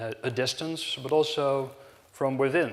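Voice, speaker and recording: This man speaks with a Dutch accent. His voice sits at a medium pitch. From Netherlands, Amsterdam. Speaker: hotel company director. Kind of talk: conference talk. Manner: halting, many fillers.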